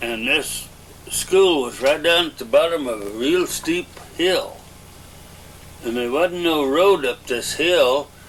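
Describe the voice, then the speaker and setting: Speaking very slowly with long, frequent pauses, a man with an American accent and a fairly high pitch shows ordinary pitch variation over noticeable background noise. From Arkansas. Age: 70s. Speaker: elderly interviewee. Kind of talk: oral history interview. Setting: at home. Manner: halting, with frequent uh.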